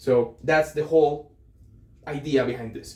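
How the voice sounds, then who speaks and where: In a Colombian accent, a man speaks at a moderate pace with a fairly high pitch and a dark, mellow tone. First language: Spanish. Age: 20s. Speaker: aspiring entrepreneur vlogger. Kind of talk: casual vlog monologue. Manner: hesitant, with fillers.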